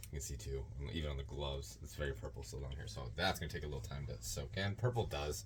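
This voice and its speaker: Very fast, lively speech from a man with a very deep, low pitch, plus audible room echo. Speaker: yarn dyer. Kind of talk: tutorial. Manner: loud; raises volume when teaching.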